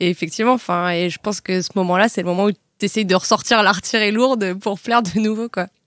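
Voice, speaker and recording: A woman at a very fast pace, medium pitch and fairly even intonation, in a dry, close sound with no echo. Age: 20s. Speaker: podcast guest. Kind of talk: casual chat. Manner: halting, many fillers.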